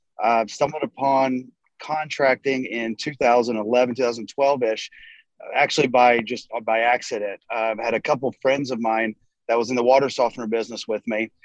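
A man with an American accent talks in fairly even intonation, an ordinary speaking voice. The sound is dry and close with no echo, over a quiet background. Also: medium pitch for a man, moderate pace. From North Carolina. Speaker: roofing contractor, company co-founder. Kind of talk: casual interview.

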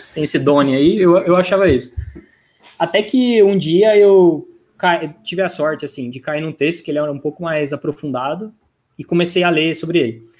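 A man with a high pitch and ordinary pitch variation talks at a moderate pace. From Brazil, interior of São Paulo state (Franca). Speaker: product manager. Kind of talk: casual interview.

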